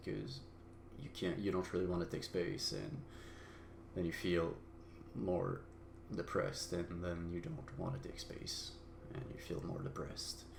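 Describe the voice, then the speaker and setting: Vocal fry runs through a man's very deep, low voice, heard with audible room echo. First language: not English. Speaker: solo podcaster. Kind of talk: personal monologue. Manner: halting, many fillers.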